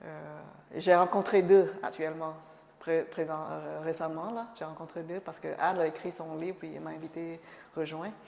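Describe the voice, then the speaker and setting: A woman's voice at a moderate pace. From Cambodia. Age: 50s. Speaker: refugee sharing life story. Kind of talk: oral history interview. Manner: halting, many hesitations and repetitions.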